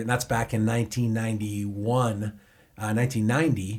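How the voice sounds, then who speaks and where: A man speaks with a Boston accent. His pitch sits in the medium range. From Boston, US. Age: 50s. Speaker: chef and restaurant owner. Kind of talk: podcast interview. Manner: animated.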